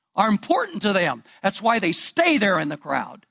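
Raised, projected male voice with a bright, sharp tone at a moderate pace. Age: 70s. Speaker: pastor. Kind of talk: sermon.

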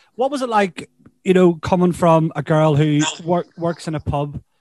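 A man with a Northern Irish accent speaks at a moderate pace, the sound dry and close with no echo. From Northern Ireland. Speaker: podcast host. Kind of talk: casual chat. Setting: video call.

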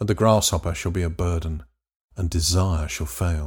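On a very clean recording with a silent background, a man with an English accent speaks at a moderate pace. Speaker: narrator, Bible reading. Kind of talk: scripture reading.

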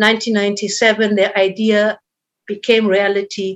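A woman's medium-pitched voice with a German accent and monotone, flat intonation. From northern Germany. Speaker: charity founder. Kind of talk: interview.

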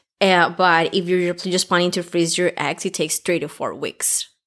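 A woman with a fairly low pitch speaks in a normal speaking voice at a moderate pace. The recording is very clean, with a silent background. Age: 20s. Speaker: podcast co-host, healthcare student and mother. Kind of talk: casual chat.

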